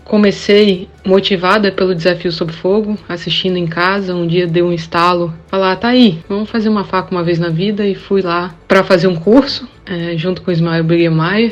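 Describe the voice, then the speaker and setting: With hardly any pauses, a woman speaks in a normal speaking voice at medium pitch and a moderate pace, her intonation fairly even. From Brazil, Espírito Santo (Vitória). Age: 30s. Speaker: hobbyist knifemaker, competition participant. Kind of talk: podcast interview.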